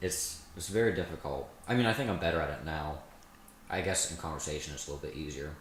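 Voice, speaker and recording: Speaking at a very fast pace, a man with a very deep, low pitch sounds somewhat breathy, with audible room echo around him. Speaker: podcast co-host. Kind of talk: casual chat. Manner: monotone.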